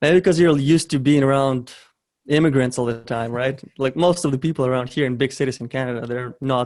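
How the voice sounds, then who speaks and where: Here a man talks with a Ukrainian accent at a medium pitch. His pace is fairly quick and his intonation fairly even. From western Ukraine (Ternopil). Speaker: e-commerce entrepreneur. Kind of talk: interview. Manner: hesitant with frequent fillers and repetitions.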